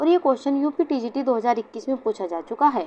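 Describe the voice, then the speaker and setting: A woman talks with a high pitch. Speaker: online exam-prep teacher. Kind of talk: lecture. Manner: slow.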